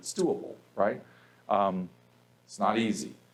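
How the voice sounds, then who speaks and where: A man speaks at a fairly low pitch. Audible room echo colors the recording. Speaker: professor. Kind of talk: lecture. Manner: fast.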